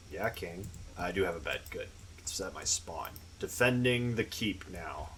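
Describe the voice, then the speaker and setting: A man mumbles at a moderate pace in a very deep, low pitch. His loudness swings widely while his pitch varies an ordinary amount. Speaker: gaming youtuber. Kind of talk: gameplay commentary. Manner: mumbling; casual.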